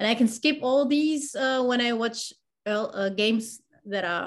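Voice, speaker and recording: This woman has a non-native accent and a fairly high pitch. She speaks at a fairly slow pace. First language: not English. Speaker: wheelchair basketball fan and social media clipper. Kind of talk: casual interview. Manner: halting, with frequent fillers and repetitions.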